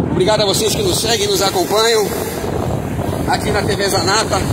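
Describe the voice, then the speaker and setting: Fairly brisk speech from a man against loud background noise. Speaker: cycling commentator filming from motorbike. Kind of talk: live sports commentary. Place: motorbike.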